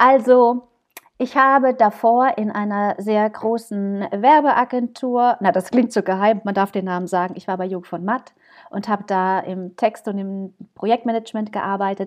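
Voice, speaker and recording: Fairly slow female speech at a medium pitch, with ordinary rise and fall. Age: 30s. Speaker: wedding celebrant, former advertising professional. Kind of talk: casual chat. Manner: animated.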